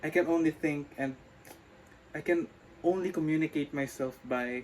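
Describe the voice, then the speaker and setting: His pace is moderate. The man keeps his intonation fairly even. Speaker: vlogger. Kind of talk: speaking practice monologue. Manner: halting.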